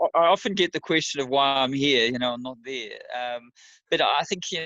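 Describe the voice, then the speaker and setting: A man speaks with a New Zealand accent at a medium pitch. His pace is fairly quick, and his pitch varies in an ordinary way. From New Zealand, Wellington. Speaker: amateur ultra runner. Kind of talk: interview.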